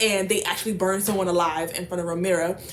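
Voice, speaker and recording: With noticeable background noise behind her, a woman speaks in an animated tone at a medium pitch and a fairly quick pace. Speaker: book vlogger. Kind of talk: casual book summary vlog. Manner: fast.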